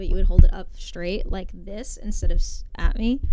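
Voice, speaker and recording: A woman's mumbling, raspy, put-on character voice at a moderate pace, under loud background noise. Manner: mumbled, muffled.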